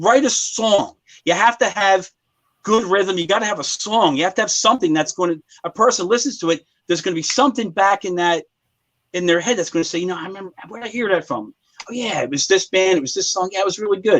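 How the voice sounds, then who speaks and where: Talking at a very fast pace, this man has a high voice with ordinary pitch variation. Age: 50s. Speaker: metal musician. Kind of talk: interview. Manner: animated.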